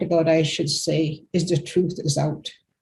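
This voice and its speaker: A woman speaks fairly slowly at a fairly low pitch, her dark, mellow tone somewhat breathy. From Canada, Cree community. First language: Cree. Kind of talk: testimony.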